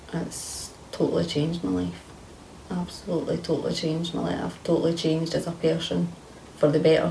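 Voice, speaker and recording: A woman speaks at a fairly quick pace in a Scottish accent, with light background noise behind her. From Scotland. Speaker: kambo participant with fibromyalgia; interviewee. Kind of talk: testimony. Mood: earnest, reflective, emphatic. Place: home room.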